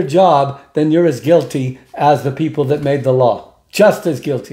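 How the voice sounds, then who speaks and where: The voice has a dark, mellow tone and a fairly slow pace over a quiet background. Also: man. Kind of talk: angry rant. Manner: indignant, preachy, fired-up and sarcastic; crowd-style exhortation, punchy, emphatic. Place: home room. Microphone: phone near.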